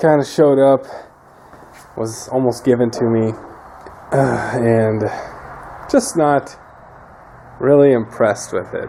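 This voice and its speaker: Over noticeable background noise, a man of medium pitch speaks at a fairly slow pace, pausing long and often. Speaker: mechanic video maker. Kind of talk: casual tutorial. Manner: unenthusiastic.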